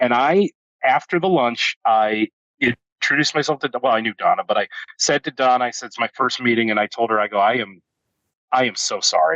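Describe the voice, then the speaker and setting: In an American accent, a man with a normal speaking voice talks at a fairly quick pace, at medium pitch with ordinary pitch variation. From Northeast Ohio, US. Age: 40s. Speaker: CEO of a canning company, former radio host. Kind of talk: podcast interview. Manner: casual.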